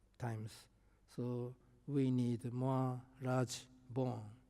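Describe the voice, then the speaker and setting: A man's medium-pitched voice with a dark, mellow tone on a very clean recording with a silent background. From Japan. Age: 70s. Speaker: professor. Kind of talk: lecture. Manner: halting.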